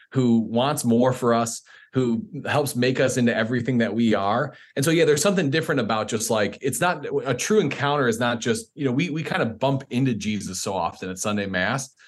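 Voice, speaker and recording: Using a plain, everyday voice, a man with an American accent talks at a fairly quick pace, medium pitch and ordinary pitch variation. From Chicago suburbs, US Midwest. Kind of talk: interview.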